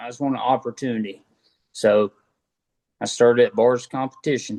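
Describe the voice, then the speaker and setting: A man with a Southern US accent, medium pitch and a dark, mellow tone, fairly even intonation at a moderate pace, big swings in loudness, dry, close sound with no echo. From North Carolina, US South. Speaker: motocross mechanic. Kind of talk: casual interview chat.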